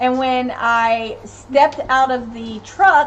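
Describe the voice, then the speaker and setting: Spoken at a very slow pace, the voice carries an American accent and ordinary pitch variation. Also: woman. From US South, Tennessee (Knoxville). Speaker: family channel live streamer, parent. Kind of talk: casual live stream chat reading comments.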